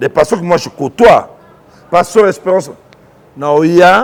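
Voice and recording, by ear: The voice carries vocal fry. Its intonation is lively. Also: man.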